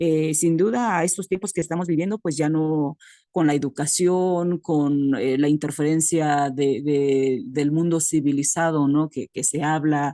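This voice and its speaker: A woman talks fairly slowly in a very deep, low pitch with a dark, mellow tone and ordinary pitch variation, hardly pausing at all. The sound is dry and close with no echo, over a quiet background. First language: Mixtec (Tu'un Savi) (speaking Spanish). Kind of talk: comment in online academic meeting. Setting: video call from rural community. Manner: halting, many fillers.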